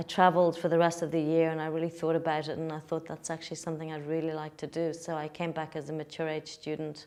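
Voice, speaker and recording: With a Dublin accent, the speaker talks at a very fast pace in a monotone, flat way. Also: woman, very deep, low pitch for a woman, hardly any pauses. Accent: Dublin Irish. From Ireland, Dublin. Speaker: cooking school owner. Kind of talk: interview.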